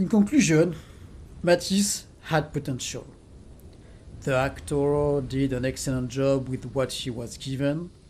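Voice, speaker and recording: A French accent at a fairly slow pace, broken by long, frequent pauses. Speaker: gaming video essayist. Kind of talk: video essay commentary. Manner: some hesitations with fillers.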